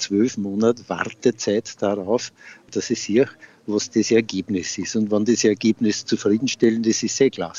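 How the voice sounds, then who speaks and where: A man with a plain, everyday voice speaks at medium pitch, with fairly even intonation and a fairly slow pace. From Upper Austria, Freistadt. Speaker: retired gardener and beekeeper. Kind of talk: interview.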